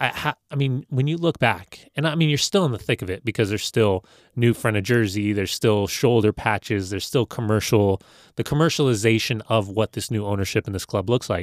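Medium pitch from a man with an American accent, a fairly quick pace, ordinary pitch variation and a normal speaking voice, in a very clean recording with a silent background and a dry, close sound with no echo. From Los Angeles, US. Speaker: former soccer player, broadcaster. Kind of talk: interview.

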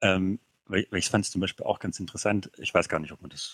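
A man's very deep, low voice in a dry, close sound with no echo. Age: 30s. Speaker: podcast guest. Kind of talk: casual chat.

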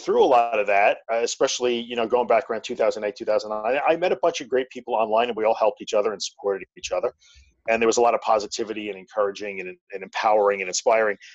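Talking at a very fast pace with lively intonation, a man with a Long Island accent and medium pitch comes through in a dry, close sound with no echo. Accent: Long Island New York. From Long Island, New York. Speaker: anxiety podcaster and tech business owner. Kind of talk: interview conversation.

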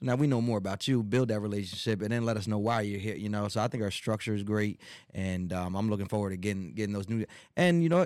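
This man talks at a very fast pace in a fairly low pitch, with ordinary pitch variation. The recording is very clean, with a silent background. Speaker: community podcast co-host. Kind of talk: casual chat. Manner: halting, repeats words.

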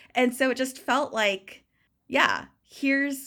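A woman with an American accent has a high pitch and a bright, sharp tone. The recording is very clean, with a silent background. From California. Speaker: burlesque performer and podcaster. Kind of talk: casual interview chat.

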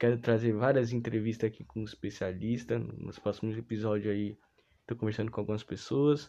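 Dark and mellow in tone, a man speaks at a fairly quick pace in a medium pitch with fairly even intonation. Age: 20s. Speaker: student podcast host. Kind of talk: casual solo podcast monologue.

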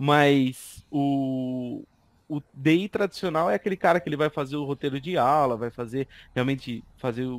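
A man's voice, fairly high in pitch, comes through with a dry, close sound and no echo, and it is a plain, everyday voice. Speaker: instructional designer. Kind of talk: casual chat.

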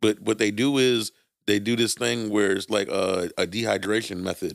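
Speaking fairly slowly in a New York accent, a man keeps a fairly low pitch with ordinary pitch variation. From New York City (Brooklyn). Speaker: podcast co-host. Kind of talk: casual chat.

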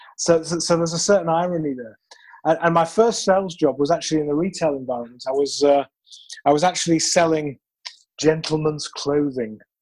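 The man speaks with a British accent at a fairly quick pace, his pitch fairly high. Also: ordinary pitch variation. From United Kingdom. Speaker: sales trainer. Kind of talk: interview. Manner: halting, many repeated words.

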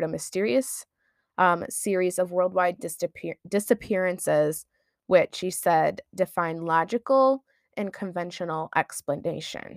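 In a strong Midwestern accent, a woman speaks at a fairly low pitch with ordinary pitch variation. The sound is dry and close, with no echo. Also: very clean recording, silent background. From US Midwest. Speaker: podcast co-host. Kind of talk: casual chat.

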